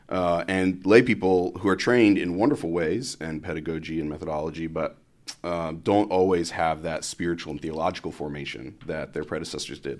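Very deep, low pitch from a man with a Midwestern American accent, at a fairly quick pace, on a very clean recording with a silent background. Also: ordinary pitch variation. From US Midwest (Columbus, Ohio). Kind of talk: casual interview chat. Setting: studio podcast.

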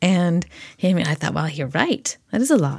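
At a fairly quick pace, a woman talks in a very clean recording with a silent background. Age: 40s. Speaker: podcast host and therapy graduate student. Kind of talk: solo podcast monologue.

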